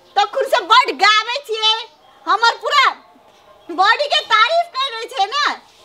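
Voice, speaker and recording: A woman's raised, projected voice at a fairly slow pace, with ordinary pitch variation and noticeable background noise. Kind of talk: scripted comedy dialogue. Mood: scornful, mocking. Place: open country. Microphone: camera far.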